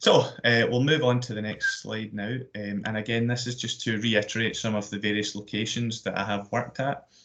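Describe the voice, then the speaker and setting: Speaking in a Glasgow accent, a man of medium pitch talks at a fairly quick pace with monotone, flat intonation. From Scotland, Glasgow. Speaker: sports events manager, active schools coordinator. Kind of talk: careers presentation. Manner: hesitant, many fillers and repetitions.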